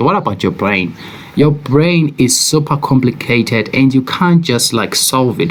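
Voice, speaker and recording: A man speaks at medium pitch with a South African accent. His intonation is lively, and there is noticeable background noise. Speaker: forex trader. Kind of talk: trading commentary video.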